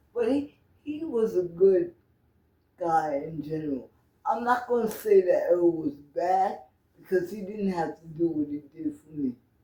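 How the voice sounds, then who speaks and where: Speaking at a fairly slow pace with long, frequent pauses, a woman has a fairly low pitch, a dark, mellow tone and lively intonation. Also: big swings in loudness. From New York. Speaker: interviewee. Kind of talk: interview.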